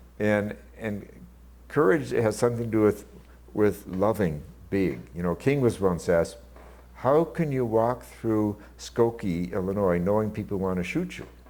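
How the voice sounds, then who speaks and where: This man's voice has a dark, mellow tone, a fairly low pitch and lively intonation. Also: moderate pace. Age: 70s. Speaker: theologian and author. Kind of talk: interview. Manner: halting.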